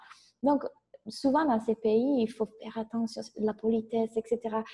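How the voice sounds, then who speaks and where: Somewhat breathy and dark, mellow in tone, a woman with a fairly high pitch speaks at a moderate pace with fairly even intonation. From Italy. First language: Italian (speaking French). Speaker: business coach. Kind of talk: interview.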